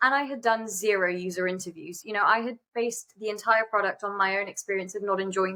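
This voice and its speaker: Talking very fast, a woman with a British accent uses a medium pitch, fairly even intonation and a bright, sharp tone. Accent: non-American, British. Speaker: startup founder and CEO. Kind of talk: interview conversation. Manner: fast, many fillers.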